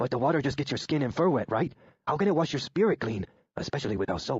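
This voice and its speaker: A man's playful, put-on character voice at a very fast pace. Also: medium pitch for a man. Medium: read story. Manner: eager, playful.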